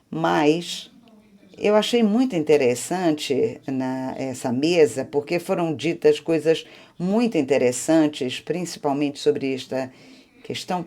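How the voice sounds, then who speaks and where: Her pitch very deep and low and her tone dark and mellow, a woman speaks at a very slow pace with lively intonation. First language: Spanish (speaking Portuguese). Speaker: audience member asking a question. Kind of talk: audience question at panel.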